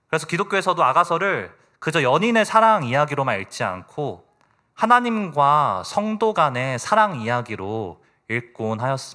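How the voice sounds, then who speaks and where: At a moderate pace, a man speaks in a fairly high voice with a bright, sharp tone and very wide pitch swings. The recording is very clean, with a silent background. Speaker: lay preacher. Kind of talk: sermon. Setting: church. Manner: formal.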